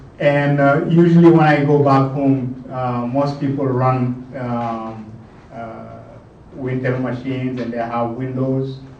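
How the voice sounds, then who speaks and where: Against noticeable background noise and audible room echo, a man speaks very slowly at a medium pitch in a monotone, flat intonation, with big swings in loudness. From Senegal, southern rainforest region. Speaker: lightning talk presenter, Linux user. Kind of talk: technical presentation. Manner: hesitant, many fillers.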